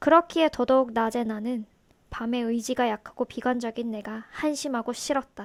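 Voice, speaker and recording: A woman speaks at a moderate pace in a high voice with fairly even intonation. The recording is very clean, with a silent background. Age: 30s. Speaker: YouTube vlogger. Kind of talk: personal confessional monologue to camera.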